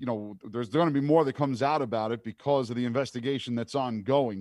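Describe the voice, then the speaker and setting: A man speaks at a medium pitch with ordinary pitch variation. It is an ordinary speaking voice. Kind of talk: casual chat. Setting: studio.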